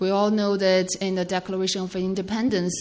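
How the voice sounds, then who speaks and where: A woman speaks over noticeable background noise. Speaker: sermon interpreter. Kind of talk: consecutive interpretation of a sermon. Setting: church. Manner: halting, with many fillers.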